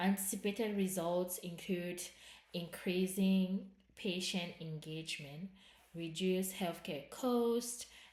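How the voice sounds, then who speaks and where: A woman with a non-native accent, medium-pitched and somewhat breathy, at a very slow pace with fairly even intonation. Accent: noticeable non-native. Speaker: student presenting research project. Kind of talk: academic presentation. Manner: halting, self-correcting.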